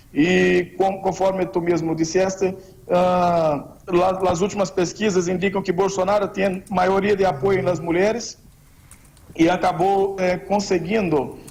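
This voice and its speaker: Speaking very slowly in a monotone, flat intonation, a man with a Portuguese accent holds a high pitch and very even loudness. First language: Portuguese (speaking Spanish). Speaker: political campaign adviser. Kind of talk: radio interview. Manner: halting.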